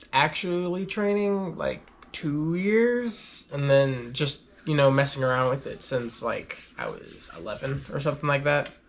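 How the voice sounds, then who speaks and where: Delivered at a fairly slow pace, an ordinary speaking voice moves with lively intonation. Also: man, fairly high pitch for a man. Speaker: parkour athlete. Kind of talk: casual interview.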